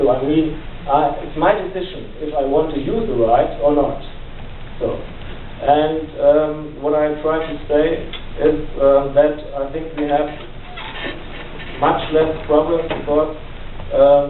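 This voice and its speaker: With a strong German accent, a man speaks at a very slow pace in a fairly high voice for a man, his intonation fairly even, with long, frequent pauses, audible room echo and noticeable background noise. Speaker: family therapist and police worker, panel speaker. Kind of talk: panel forum remarks. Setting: university panel with audience. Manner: halting, many fillers.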